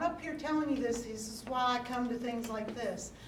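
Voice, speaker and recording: A woman with an American accent speaks at a fairly high pitch, with audible room echo and noticeable background noise. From West Virginia, Marion County. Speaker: handbag designer and featured artist. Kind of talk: speech to audience at art show award. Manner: loud.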